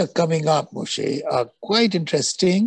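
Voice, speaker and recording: A man with a high voice speaks with ordinary pitch variation, the sound dry with no echo and the background quiet. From India. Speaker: moderator, architect; moderator. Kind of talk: moderated Q&A. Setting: video call. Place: home room. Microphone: video call.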